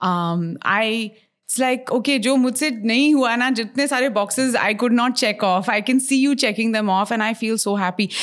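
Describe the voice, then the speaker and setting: The recording is very clean, with a silent background, and features a woman with an ordinary speaking voice. Her pitch is fairly high, with ordinary variation, at a moderate pace. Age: 30s. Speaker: radio host and podcaster. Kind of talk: casual chat. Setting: her home.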